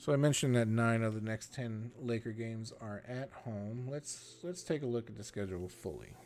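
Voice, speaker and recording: At medium pitch and a moderate pace, a man talks with hardly any pauses, ordinary pitch variation and big swings in loudness. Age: 40s. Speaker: sports podcast host. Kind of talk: solo sports analysis podcast.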